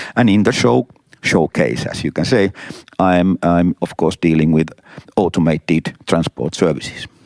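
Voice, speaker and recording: A man speaks at a moderate pace with a very deep, low pitch. The sound is dry and close, with no echo. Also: ordinary pitch variation. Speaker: transport consultant. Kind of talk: interview. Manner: halting.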